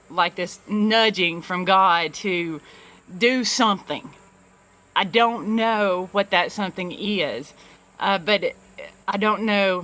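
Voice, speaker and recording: The voice has a bright, sharp tone and a Southern US accent with ordinary pitch variation. The pace is very slow, with long, frequent pauses. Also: woman, medium pitch for a woman. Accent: Southern, self-described poor English. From US South, small-town Alabama. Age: 40s. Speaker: vlogger, youth program director and business owner. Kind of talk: personal confessional vlog. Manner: halting, many fillers and repeats.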